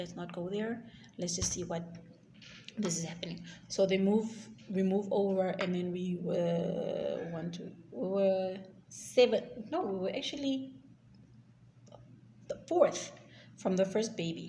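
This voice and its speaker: An African accent at a fairly slow pace with ordinary pitch variation, long, frequent pauses and audible room echo. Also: woman, medium pitch for a woman. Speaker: YouTuber. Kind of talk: storytime vlog. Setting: recording at work. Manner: halting.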